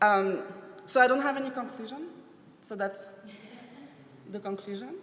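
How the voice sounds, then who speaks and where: A woman with a French accent and a fairly high pitch talks at a moderate pace with lively intonation and big swings in loudness, amid audible room echo and noticeable background noise. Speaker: dancer and professor. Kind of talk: conference talk.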